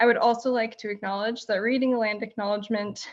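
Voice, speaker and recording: Here is a woman with an unremarkable speaking voice and fairly high pitch. She moves at a fairly quick pace with fairly even intonation. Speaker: land acknowledgement speaker. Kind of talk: formal land acknowledgement.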